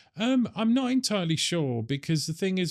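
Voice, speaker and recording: A man with a British accent speaks at a fairly quick pace, his pitch swinging very widely. The recording is very clean, with a silent background. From United Kingdom. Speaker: industry association executive. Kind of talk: interview. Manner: halting, with fillers.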